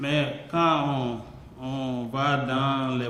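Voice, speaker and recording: A medium-pitched male voice with audible room echo and noticeable background noise. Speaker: member of parliament. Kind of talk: parliamentary debate. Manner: halting.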